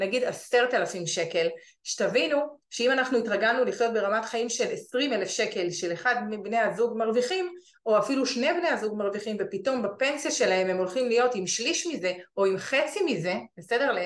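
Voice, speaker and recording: A woman talks at a moderate pace in a plain, everyday voice, pitched fairly high. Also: lively intonation. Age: 40s. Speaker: real estate investment advisor. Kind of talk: webinar presentation. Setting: online webinar.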